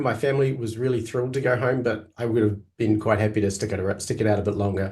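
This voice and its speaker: A man speaks very fast, with hardly any pauses and a medium pitch. His voice is somewhat breathy and his intonation is fairly even. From New Zealand. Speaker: Greek teacher. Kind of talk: interview.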